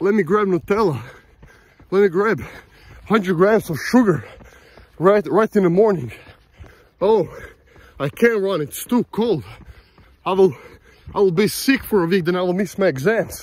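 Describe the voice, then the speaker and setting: A man's high-pitched voice broken up by long, frequent pauses. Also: ordinary pitch variation, moderate pace, dry sound with no echo. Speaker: vlogger. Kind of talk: casual vlog chat. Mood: motivational, self-reflective. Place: open country. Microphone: phone near.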